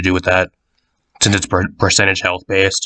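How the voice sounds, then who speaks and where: A man talks over a quiet background. His pitch is very deep and low. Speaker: gaming content creator. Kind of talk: casual gaming commentary. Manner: casual, rambling.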